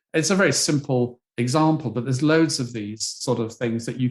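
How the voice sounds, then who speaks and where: A man at medium pitch speaks with a British accent and ordinary pitch variation. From Britain. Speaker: psychology professor. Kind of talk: interview. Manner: halting.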